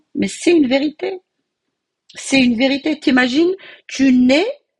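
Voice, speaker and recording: A woman with a high pitch speaks at a fairly slow pace in a dry, close sound with no echo. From Algeria (Algiers, Kabyle family). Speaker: home cook and caterer. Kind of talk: interview, life story. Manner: halting, repeats words.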